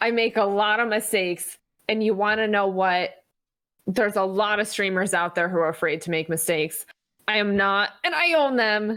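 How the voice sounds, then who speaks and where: At a moderate pace, a woman speaks with a bright, sharp tone, medium pitch, ordinary pitch variation and very even loudness. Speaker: Twitch streamer. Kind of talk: podcast interview. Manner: energetic.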